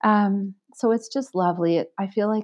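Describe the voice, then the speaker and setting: A woman with a plain, everyday voice, medium pitch, ordinary pitch variation and a fairly slow pace. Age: 40s. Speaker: librarian. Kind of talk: interview.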